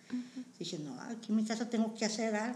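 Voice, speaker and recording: Somewhat breathy at a medium pitch, a woman's voice carries audible room echo. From Mexico, San Luis Potosí (Matehuala). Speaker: community center worker. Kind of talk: personal testimony interview.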